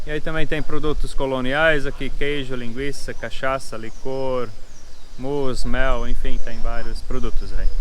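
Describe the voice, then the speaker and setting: Background noise is noticeable in this clip. A man talks at a moderate pace. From southern Brazil, Pomerode (Santa Catarina). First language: German (Pomeranian) (speaking Portuguese). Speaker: family farm host for tourists. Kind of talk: casual explanation to visitors.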